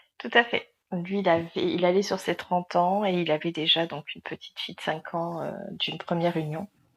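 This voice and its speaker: A woman's fairly low-pitched, plain, everyday voice at a moderate pace, with big swings in loudness and a dry, close sound with no echo. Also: fairly even intonation. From southern France. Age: 40s. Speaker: interviewee, single mother. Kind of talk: testimony interview.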